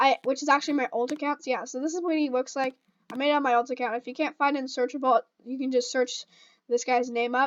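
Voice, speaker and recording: Speaking loudly at a very fast pace, a woman keeps a fairly even intonation at a high pitch. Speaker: gaming YouTuber. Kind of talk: tutorial. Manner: halting, many fillers. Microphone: new microphone.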